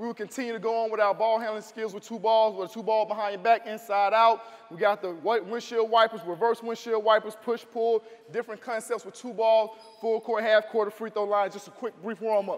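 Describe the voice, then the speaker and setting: A man's high-pitched voice, monotone and flat in intonation, at a fairly quick pace. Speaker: basketball coach. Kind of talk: tutorial. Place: hall. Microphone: lapel.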